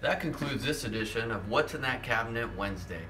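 Noticeable background noise is audible. A man does the talking. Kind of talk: tutorial. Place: garage. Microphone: phone near.

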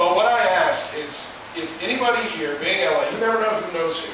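A man is heard through strong room echo and noticeable background noise. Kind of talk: informal speech to an audience. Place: stage. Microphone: camera far.

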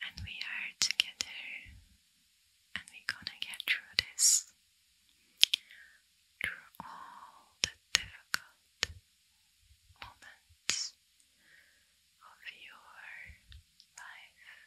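A woman whispers at a very slow pace, soft-spoken and soothing, with long, frequent pauses. Her loudness swings widely over light background noise. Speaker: ASMR creator. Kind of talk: soft-spoken ASMR talk. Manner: soft, close, soothing near-whisper. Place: home room. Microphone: studio mic.

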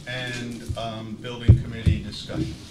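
A man speaks over noticeable background noise. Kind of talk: meeting chairing remarks. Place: meeting room. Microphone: podium.

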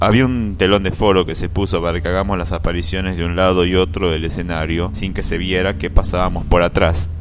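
The intonation stays fairly level while the words come at a fairly brisk clip. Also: man, very deep, low pitch for a man. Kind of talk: first-person ghost story telling, recounted as a personal experience.

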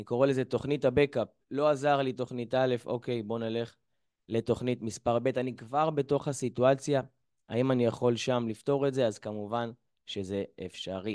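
Moderate pace and fairly even intonation, over a quiet background. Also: man. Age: 20s. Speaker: mental coach; lecturer on emotional eating. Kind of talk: lecture. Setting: video call. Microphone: video call.

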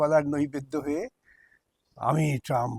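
A dark, mellow tone comes across in a dry, close sound with no echo. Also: man. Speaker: lawyer and communist politician. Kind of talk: interview.

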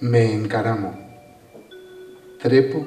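A man with a fairly low pitch speaks at a very slow pace. The room echo is audible, and faint music plays in the background. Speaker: spoken word poet. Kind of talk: spoken word poetry performance. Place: stage.

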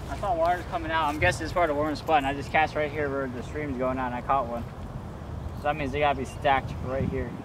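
A man's fast, fairly high-pitched voice with fairly even intonation over clear background noise

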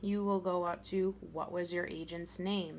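A woman with an ordinary speaking voice talks at a fairly low pitch and fairly slow pace. Light background noise is present. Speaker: mystery shopper trainer. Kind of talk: tutorial. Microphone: phone near.

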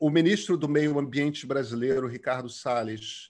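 Against a quiet background, a man speaks in a normal speaking voice. His pitch is fairly high and his pace fairly slow. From Brazil, Rio de Janeiro. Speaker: journalist and author; journalist. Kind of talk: interview. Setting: video call. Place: home room. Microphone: earbuds.

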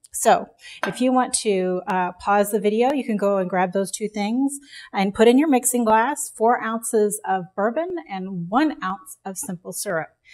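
A woman talks at a moderate pace with lively intonation. The background is quiet. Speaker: cocktail instructor. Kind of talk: tutorial. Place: home room.

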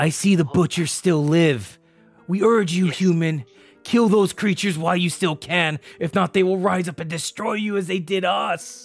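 A man uses a put-on character voice, raspy and high-pitched, with ordinary pitch variation. He speaks at a moderate pace over faint music in the background. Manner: formal, solemn, speaks as a collective "we".

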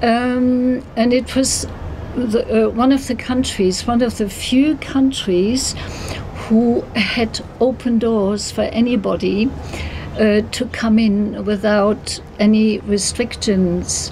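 Against light background noise, a woman with a German accent speaks at a very slow pace in a fairly high pitch, her intonation fairly even. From Germany, later long in southwest England. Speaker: traveller. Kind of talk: interview. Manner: hesitant, with fillers. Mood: warm, enthusiastic. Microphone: phone near.

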